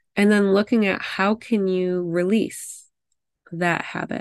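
A woman with an ordinary speaking voice talks at a fairly slow pace and medium pitch, her intonation fairly even. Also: dry, close sound with no echo, quiet background. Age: 30s. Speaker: podcast host, pharmacist and fertility coach. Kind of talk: solo podcast monologue. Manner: casual, reflective.

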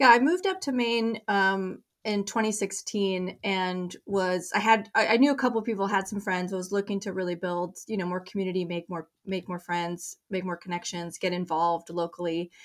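A woman of medium pitch talks at a moderate pace with fairly even intonation and hardly any pauses. It is an ordinary speaking voice. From Colorado. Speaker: nonprofit director. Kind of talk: interview.

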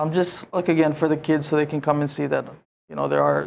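At a fairly quick pace, a man speaks in a fairly high voice with monotone, flat intonation. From North Carolina, Yapese family. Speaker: student organizer. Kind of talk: interview.

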